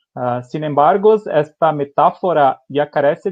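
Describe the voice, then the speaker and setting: Here is a man with a Brazilian accent. His voice is fairly high. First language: Portuguese (speaking Spanish). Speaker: company engineer presenting technology. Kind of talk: webinar presentation. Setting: online webinar. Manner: halting, many fillers.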